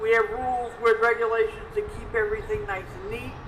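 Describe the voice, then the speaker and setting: Noticeable background noise and audible room echo surround a moderate-paced voice with an American accent and lively intonation. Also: woman. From New Jersey. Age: 60s. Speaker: retired tenant advocate. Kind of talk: personal testimony.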